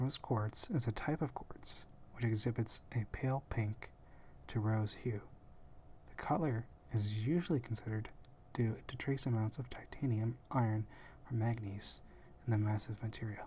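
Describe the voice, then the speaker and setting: Someone whispers at a fairly slow pace with long, frequent pauses. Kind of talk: ASMR whispering about gemstones. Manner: whispered.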